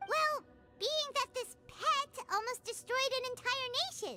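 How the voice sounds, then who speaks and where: A put-on character voice, squeaky and extremely high in pitch, speaks at a fairly slow pace over faint music in the background. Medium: game stream. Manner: excitable, chatty.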